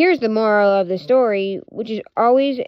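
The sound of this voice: The pitch moves in an ordinary way as an unforced reading voice goes on.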